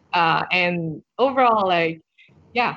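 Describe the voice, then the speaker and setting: This woman has a fairly low pitch. Her pitch varies in an ordinary way. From Vietnam, Hanoi. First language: Vietnamese. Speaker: product designer. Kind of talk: casual interview.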